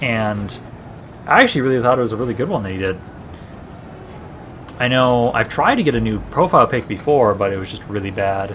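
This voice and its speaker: Background noise is noticeable here. Over it, a man talks. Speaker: gaming streamer. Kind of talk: live stream commentary. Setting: live stream. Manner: halting, with filler sounds.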